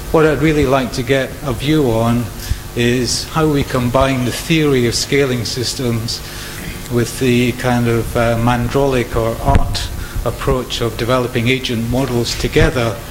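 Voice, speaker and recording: Over noticeable background noise and audible room echo, a man speaks at a fairly slow pace in a medium pitch with monotone, flat intonation. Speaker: conflict modelling researcher. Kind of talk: audience question at symposium. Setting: conference hall with microphone.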